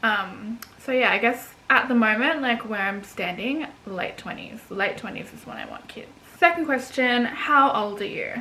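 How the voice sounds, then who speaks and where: A woman with an Australian accent, fairly high pitch and ordinary pitch variation, amid audible room echo and noticeable background noise. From Australia, Gold Coast, Queensland. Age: 20s. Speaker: vlogger. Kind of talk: casual chat. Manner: hesitant, many fillers.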